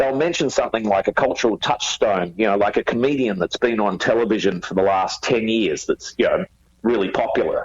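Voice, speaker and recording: Someone with an Australian accent talks at a fairly quick pace. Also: man. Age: 50s. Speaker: rock musician. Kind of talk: interview. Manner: halting.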